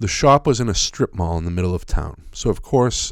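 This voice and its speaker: A man talks at a fairly quick pace with an American accent. The recording is very clean and the background silent. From Massachusetts North Shore. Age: 50s. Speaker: podcast host. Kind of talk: solo storytelling monologue. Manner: casual, conversational with fillers.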